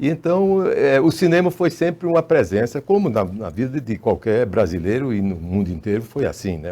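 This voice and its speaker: With music in the background, a man speaks at a moderate pace, his pitch swinging very widely. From Paraíba, northeastern Brazil. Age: 80s+. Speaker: filmmaker. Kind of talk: interview. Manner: halting, with many repetitions.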